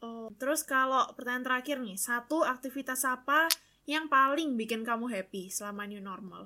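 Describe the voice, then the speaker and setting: A woman with a strong Surabaya accent speaks at a moderate pace in a high, bright and sharp voice, her pitch varying in an ordinary way while her loudness swings widely. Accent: strong Surabaya (medok). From Indonesia, Surabaya (East Java). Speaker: student podcast co-host. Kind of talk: casual chat.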